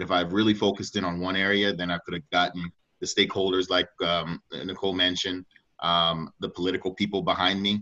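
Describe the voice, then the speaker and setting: A man talks at a very fast pace with an American accent. His very deep, low pitch stays monotone and flat. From Washington, D.C. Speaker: youth soccer coach. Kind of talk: panel discussion. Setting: video call.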